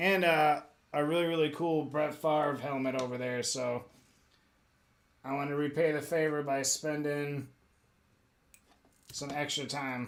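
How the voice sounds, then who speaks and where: Quietly, a man speaks in a fairly high pitch. His pitch varies in an ordinary way. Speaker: custom crafts streamer. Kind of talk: live stream chat while crafting. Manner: quiet, relaxed.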